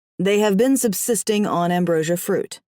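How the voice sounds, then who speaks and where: A female-sounding, put-on character voice sits at a middle pitch. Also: moderate pace. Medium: read story. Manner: composed, deferential.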